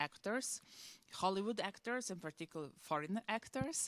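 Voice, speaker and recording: A woman with a Croatian accent speaks at a moderate pace with ordinary pitch variation. The sound is dry and close, with no echo. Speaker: museum curator. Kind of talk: on-stage interview.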